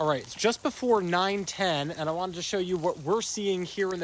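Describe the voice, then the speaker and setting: The tone is upbeat with ordinary pitch variation, and noticeable background noise can be heard. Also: man. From New England. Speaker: weather broadcaster. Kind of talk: TV weather forecast.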